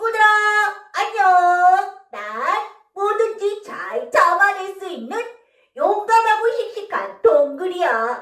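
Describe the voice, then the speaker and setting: A woman performs a put-on character voice at an extremely high pitch, raised and projected, very slow with long, frequent pauses and slight echo. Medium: read story. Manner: bright, spirited.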